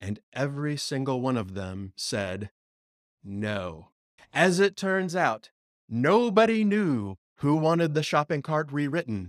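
A man's fairly high, dramatic voice with very wide pitch swings, dry and close with no echo. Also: fairly slow pace. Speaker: podcast host and agile consultant. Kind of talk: horror storytelling narration. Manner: hushed, ominous, dramatic with spooky pacing; wry, tongue-in-cheek.

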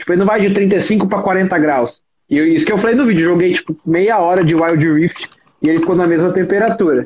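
At a fairly quick pace, a man with a high voice speaks with ordinary pitch variation and very even loudness. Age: 20s. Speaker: lawyer and tech youtuber. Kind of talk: casual chat. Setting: live stream.

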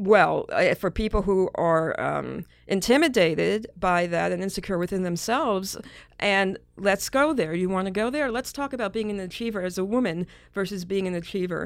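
A woman with an unremarkable speaking voice and an American accent talks at a moderate pace and medium pitch with ordinary pitch variation, in a very clean recording with a silent background. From Brooklyn, New York City. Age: 50s. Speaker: psychologist and media executive. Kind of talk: interview conversation.

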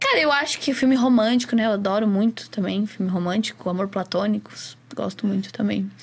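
A woman talks at a fairly quick pace with medium pitch. Noticeable background noise is present. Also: ordinary pitch variation. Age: 20s. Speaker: astrologer and tarot reader. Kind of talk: casual chat.

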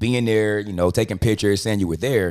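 A man with a fairly low pitch talks at a fairly quick pace on a very clean recording with a silent background. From Compton, Los Angeles. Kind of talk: casual chat.

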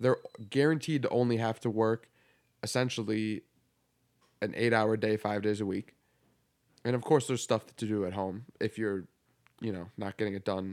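In a very clean recording with a silent background, a man talks at a moderate pace with ordinary pitch variation and long, frequent pauses. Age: 20s. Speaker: barber and podcast co-host. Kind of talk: casual chat. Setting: home recording, handheld mics.

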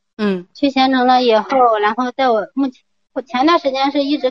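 With ordinary pitch movement, a woman speaks fairly quickly in a high voice. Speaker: caller, stay-at-home mother. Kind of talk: call-in advice. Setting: phone call. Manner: fast, hurried. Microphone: poor phone signal.

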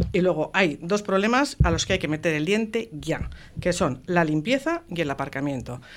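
A woman's fairly low voice at a moderate pace, with very wide pitch swings. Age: 60s. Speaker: municipal election candidate, teacher. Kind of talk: radio election debate.

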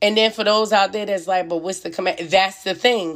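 The tone is passionate. Pitch moves in an ordinary way. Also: woman. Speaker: podcaster. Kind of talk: fervent sermon-like rant, preachy monologue. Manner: passionate, forceful and indignant; direct, conversational, addressing listeners as y'all.

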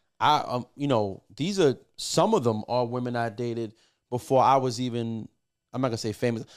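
A man speaks with a New York accent at a moderate pace, his pitch medium with ordinary variation. The recording is very clean, with a silent background. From New York, Puerto Rican family. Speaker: music producer. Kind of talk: casual chat.

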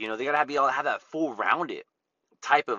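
A fairly high-pitched man's voice with vocal fry. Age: 30s. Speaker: podcast host, real estate agent. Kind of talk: casual monologue.

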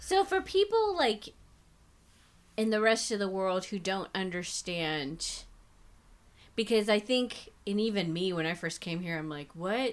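A woman speaks at a fairly slow pace in a medium pitch, with long, frequent pauses. Her tone is animated, with ordinary pitch variation. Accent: American. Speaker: podcast co-host. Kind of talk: casual chat. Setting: home recording.

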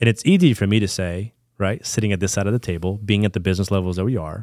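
The recording is very clean, with a silent background and a dry, close sound with no echo. Pitch variation is ordinary. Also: man. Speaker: financial advisor. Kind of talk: casual interview. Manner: well-spoken.

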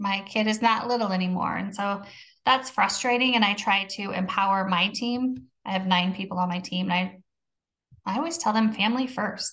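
This woman has an unremarkable speaking voice at medium pitch. She talks at a moderate pace with ordinary pitch variation. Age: 40s. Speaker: podcast co-host on sobriety, manager at work. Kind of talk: casual chat.

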